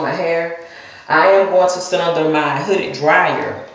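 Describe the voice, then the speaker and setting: A woman with an American accent and a fairly low pitch, fairly even intonation, in audible room echo. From US South. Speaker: hair vlogger. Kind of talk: casual vlog demonstration. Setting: at home in front of a mirror. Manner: chatty, rambling.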